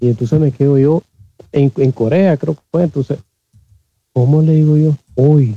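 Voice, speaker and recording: Speaking with a Nicaraguan accent, a man uses a fairly high pitch and a dark, mellow tone, fairly even intonation and a fairly slow pace with long, frequent pauses. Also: dry, close sound with no echo. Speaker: systems engineer, audience participant. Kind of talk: casual chat. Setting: live online audio room. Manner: halting, repeats words.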